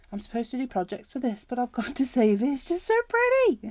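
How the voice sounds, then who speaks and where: This woman's tone is dark and mellow, and her pitch swings very widely. She speaks at a moderate pace. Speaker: planner and craft YouTuber. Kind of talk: product unboxing. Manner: enthusiastic, casual.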